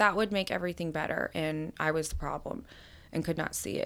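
In an ordinary speaking voice, a woman talks at a moderate pace with an American accent and ordinary pitch variation. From US South, Atlanta, Georgia. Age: 30s. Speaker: recovering alcoholic sharing her story. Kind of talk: recovery testimony.

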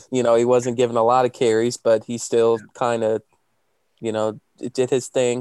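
In a dry, close recording with no echo, a man talks at a moderate pace in monotone, flat intonation. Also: medium pitch for a man. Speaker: sports podcast co-host. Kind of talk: casual chat.

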